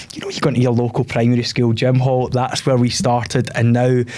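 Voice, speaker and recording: Over noticeable background noise, a man with a Scottish accent talks at a fairly quick pace. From Scotland. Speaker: theatre school owner and TV contestant. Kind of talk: podcast interview.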